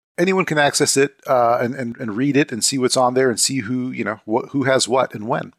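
In a very clean recording with a silent background, a man with an American accent and medium pitch speaks fairly quickly with ordinary pitch variation. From US. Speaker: crypto exchange executive. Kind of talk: interview. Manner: halting.

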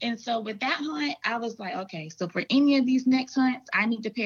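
A woman with an American accent speaks at a moderate pace in a somewhat breathy, fairly high voice with lively intonation. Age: 20s. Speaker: hunter. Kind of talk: casual chat.

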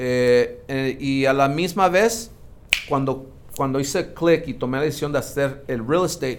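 The pace is fairly slow, with ordinary pitch variation. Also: man. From Mexicali, Mexico. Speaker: entrepreneur in real estate. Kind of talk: interview conversation. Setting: studio. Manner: halting with frequent repetitions.

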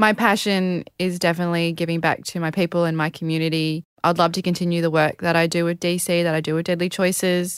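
A woman talks at a very fast pace with an Australian accent and hardly any pauses, her fairly low voice monotone and flat. The recording is very clean, with a silent background. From rural Queensland, Australia. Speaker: Olympic beach volleyball player. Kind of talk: interview.

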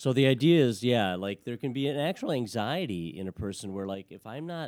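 On a very clean recording with a silent background, a man with an American accent talks at a moderate pace in a normal speaking voice with ordinary pitch variation. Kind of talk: casual chat and prayer.

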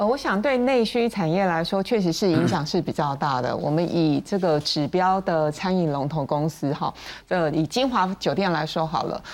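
A plain, everyday voice at a moderate pace, lively in intonation, with very even loudness and hardly any pauses. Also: woman, fairly low pitch for a woman. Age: 50s. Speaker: veteran journalist. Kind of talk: panel discussion.

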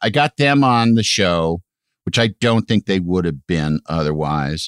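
A man with an American accent swings very widely in pitch, captured in a very clean recording with a silent background and a dry, close sound without echo. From US Midwest, Illinois (Aurora). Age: 50s. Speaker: TV sidekick and announcer. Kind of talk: casual chat.

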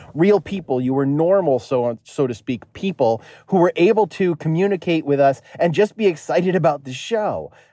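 A man's fairly high-pitched voice with an American accent and a dark, mellow tone, dry and close with no echo. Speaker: caller. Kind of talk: casual chat. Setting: phone call.

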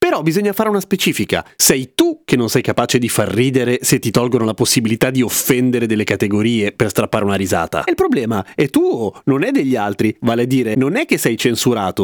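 An animated man talks at a very fast pace with very wide pitch swings, in a dry, close sound with no echo. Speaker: podcast host. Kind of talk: solo monologue podcast.

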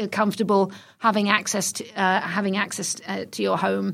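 A very clean recording with a silent background captures a woman speaking at a moderate pace. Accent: British. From England (London). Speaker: retail executive. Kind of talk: interview.

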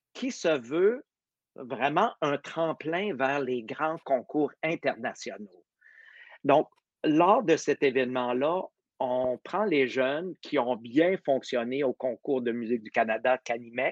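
Against a quiet background, a man at medium pitch talks at a very slow pace with ordinary pitch variation, the sound dry and close with no echo. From Quebec. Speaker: orchestra conductor and competition director. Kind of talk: casual interview.

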